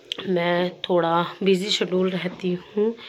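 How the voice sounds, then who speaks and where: A woman at medium pitch, monotone and flat in intonation, over noticeable background noise. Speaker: vlogger. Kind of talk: casual vlog talk. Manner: casual.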